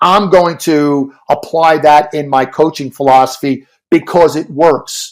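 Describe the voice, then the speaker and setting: An American accent marks this man's ordinary speaking voice, fairly high in pitch, with fairly even intonation and a fairly slow pace. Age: 60s. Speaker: swim coach and author. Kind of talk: podcast interview.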